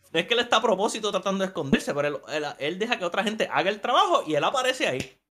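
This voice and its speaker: In a raised, projected voice, a man races along at a very fast pace with hardly any pauses, his high pitch carrying lively intonation. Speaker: podcast co-host. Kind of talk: casual chat.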